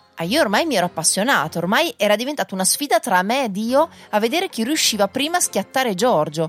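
The speech moves at a very fast pace with very wide pitch swings. Music plays in the background, and the sound is dry and close with no echo. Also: woman, fairly high pitch for a woman. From northern Italy, Reggio Emilia. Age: 30s. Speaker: podcaster. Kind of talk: personal storytelling.

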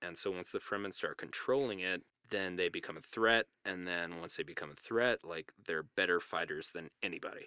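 A man's very deep, low voice with a bright, sharp tone, ordinary pitch variation and a moderate pace, in a dry, close sound with no echo. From New Mexico, US. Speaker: podcast guest discussing a novel. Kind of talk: casual chat. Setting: home closet recording.

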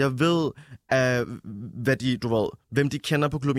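Fairly high and fairly slow, a man talks in a plain, everyday voice with fairly even intonation. The sound is dry and close with no echo. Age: 20s. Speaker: musician and nightlife worker. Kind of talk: casual chat.

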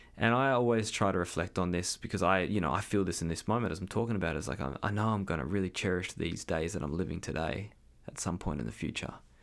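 Man with a very deep, low voice and vocal fry, talking at a very fast pace, on a very clean recording with a silent background. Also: ordinary pitch variation. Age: 30s. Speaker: podcast host and energetic coach. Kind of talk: solo monologue podcast. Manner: casual, hesitant with fillers.

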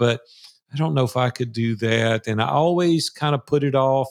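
A man speaks in a plain, everyday voice with ordinary pitch variation at a moderate pace. The recording is very clean with a silent background. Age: 60s. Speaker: entrepreneur and mastermind facilitator. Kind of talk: casual interview.

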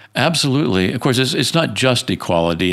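In a very clean recording with a silent background, a man with an American accent talks at a very fast pace with very wide pitch swings. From US South. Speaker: philosophy professor and author. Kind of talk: interview. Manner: halting, with frequent repetitions.

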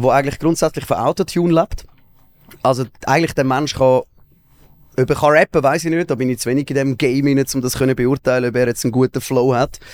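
A man of medium pitch speaks at a very fast pace with fairly even intonation, broken by long, frequent pauses. The sound is dry and close with no echo. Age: 30s. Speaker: radio and TV presenter. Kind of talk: casual chat.

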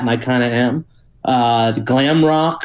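A man's plain, everyday voice at medium pitch, with fairly even intonation. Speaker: journalist and think tank fellow. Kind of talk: casual chat.

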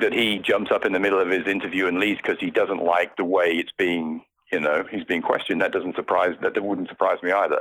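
This man speaks with a British accent. His pace is moderate. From Britain. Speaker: podcast guest, palace correspondent.

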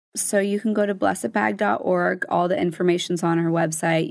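A woman with an American accent, a normal speaking voice, and a fairly low pitch talks at a moderate pace with ordinary pitch variation, on a very clean recording with a silent background. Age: 20s. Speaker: charity founder and CEO. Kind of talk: casual interview chat.

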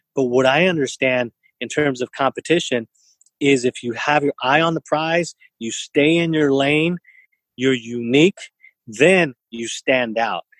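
A man with an unremarkable speaking voice talks at a fairly slow pace and fairly high pitch, with ordinary pitch variation and a dry, close sound with no echo. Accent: American. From US West Coast, East San Jose, California. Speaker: entrepreneur and event organizer. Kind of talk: interview conversation.

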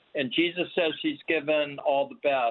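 A man speaks at a fairly slow pace in an ordinary speaking voice. His pitch is fairly high, with ordinary variation. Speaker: caller. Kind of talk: phone-in question. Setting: phone call.

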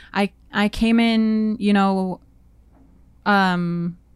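The recording is very clean, with a silent background. A woman with a Manitoban accent speaks at medium pitch with monotone, flat intonation. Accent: Canadian (Manitoba). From Winnipeg, Canada. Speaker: actor. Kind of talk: casual interview.

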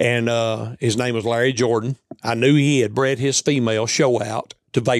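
Recorded with a dry, close sound and no echo, a man speaks at a medium pitch with a Southern US accent. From US South, Tennessee. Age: 60s. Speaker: coonhound hunter. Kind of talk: casual chat. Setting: indoors at a hunting lodge.

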